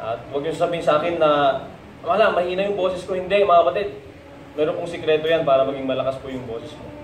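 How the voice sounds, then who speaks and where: A man speaks at a very fast pace, his pitch high for a man. Noticeable background noise sits behind him. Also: ordinary pitch variation, big swings in loudness. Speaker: preacher. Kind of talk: sermon.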